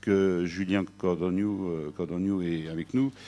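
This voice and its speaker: A man speaks over a quiet background. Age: 60s. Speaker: sales director at a factoring company. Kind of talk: business presentation. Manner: hesitant, many filler sounds.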